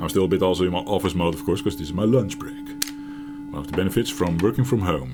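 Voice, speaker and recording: Noticeable background noise sits behind a man with a Dutch accent, speaking with lively intonation at a very deep, low pitch. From Netherlands. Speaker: gaming YouTuber. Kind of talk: casual gameplay commentary. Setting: home office. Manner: halting. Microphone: mic a bit far from mouth.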